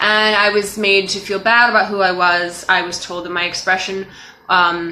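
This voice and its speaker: A woman speaks at a medium pitch in a flat monotone, with noticeable background noise behind her. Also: moderate pace. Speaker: life coach. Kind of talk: motivational talk to camera. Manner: loud, expressive.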